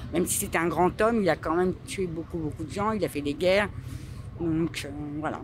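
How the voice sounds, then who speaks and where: Over noticeable background noise, a woman with a fairly low voice talks at a fairly quick pace with ordinary pitch variation and long, frequent pauses. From France. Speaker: street interviewee. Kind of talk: street interview. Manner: halting.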